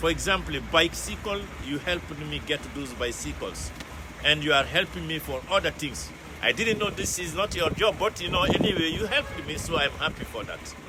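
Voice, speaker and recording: At a moderate pace, a man talks as noticeable background noise carries on around him. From Guinea (West Africa). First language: French. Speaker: customer, businessman. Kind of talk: casual chat; interview testimony. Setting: factory visit. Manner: hesitant, many fillers.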